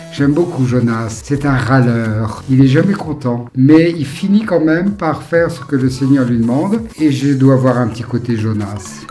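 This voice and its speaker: Over noticeable background noise, a man of medium pitch talks at a fairly slow pace with ordinary pitch variation and hardly any pauses. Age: 60s. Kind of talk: interview answers.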